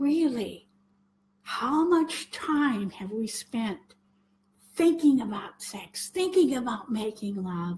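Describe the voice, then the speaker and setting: A woman's very slow delivery with long, frequent pauses, very wide pitch swings, and big swings in loudness. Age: 70s. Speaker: spiritual teacher. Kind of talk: spoken talk to viewers.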